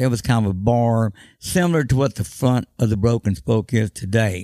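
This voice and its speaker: Speaking at a fairly quick pace with a Texan accent, a man has a dark, mellow tone on a very clean recording with a silent background. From Austin, Texas. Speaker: honky-tonk owner. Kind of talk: casual interview.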